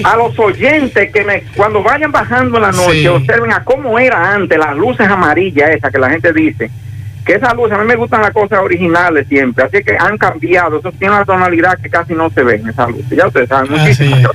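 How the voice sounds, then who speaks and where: Speaking very fast with hardly any pauses, the voice makes very wide pitch swings against noticeable background noise. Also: man, high pitch for a man. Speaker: caller. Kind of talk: casual chat.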